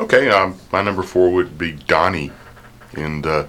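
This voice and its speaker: Very deep and low, a man's voice moves at a fairly slow pace over noticeable background noise. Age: 50s. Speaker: film enthusiast and Sunday school teacher. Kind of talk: radio talk show.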